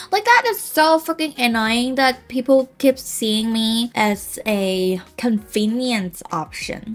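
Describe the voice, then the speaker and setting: With a Cantonese accent, a woman speaks at a very slow pace yet with hardly any pauses, her fairly high voice full of lively intonation over noticeable background noise. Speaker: language teacher and content creator. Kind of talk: casual vlog rant and language tutorial. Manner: animated.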